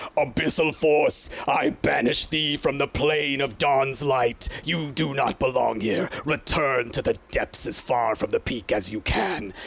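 A man puts on a character voice at a fairly high pitch. He talks fairly slowly over light background noise. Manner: righteous, commanding.

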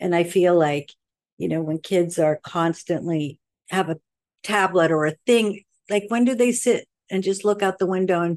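Against a quiet background, a woman with an American accent and an ordinary speaking voice talks at a moderate pace, with medium pitch and ordinary pitch variation. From Sweden, American parents from Queens. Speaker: cosmetics company founder, makeup artist. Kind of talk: interview.

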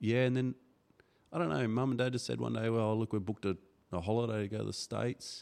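A man with a fairly low pitch, ordinary pitch variation, and a very fast pace. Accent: Australian. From Darwin, Northern Territory, Australia. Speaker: motocross club organiser and former racer. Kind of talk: casual chat. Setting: studio.

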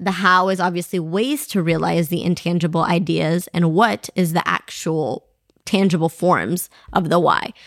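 A woman with a fairly low pitch and vocal fry speaks at a moderate pace in an animated tone, with ordinary pitch variation and very even loudness. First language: not English. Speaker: podcast co-host. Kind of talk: casual chat.

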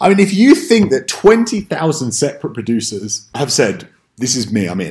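A man with an American accent speaks at a moderate pace in a fairly high, somewhat breathy voice with very wide pitch swings. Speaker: podcast host. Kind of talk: casual chat.

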